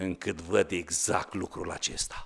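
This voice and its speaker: This man's voice sits at a very deep, low pitch. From Romania. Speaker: pastor. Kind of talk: sermon. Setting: church. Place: church. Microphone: podium.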